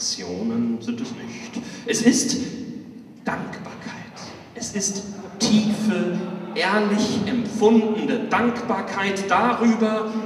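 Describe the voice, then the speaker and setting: In a room with audible echo and light background noise, a man with a high pitch speaks very slowly in a monotone, flat intonation, leaving long, frequent pauses. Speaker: pastor. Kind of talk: poetry slam performance. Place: church.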